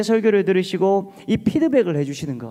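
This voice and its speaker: This man has a dark, mellow tone and talks at a fairly quick pace. His pitch swings very widely. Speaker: pastor. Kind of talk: sermon.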